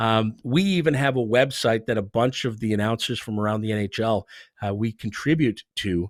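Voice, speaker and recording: A man in a plain, everyday voice speaks at medium pitch with ordinary pitch variation, the sound dry and close with no echo. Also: moderate pace. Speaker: NHL arena public address announcer. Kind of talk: interview answer. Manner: conversational, fluent.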